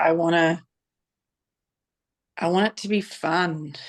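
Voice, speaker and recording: A woman speaks fairly slowly in an Australian accent. Her pitch is fairly low and varies in an ordinary way. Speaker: divorce and boundaries coach. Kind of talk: casual introduction in group video call. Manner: halting.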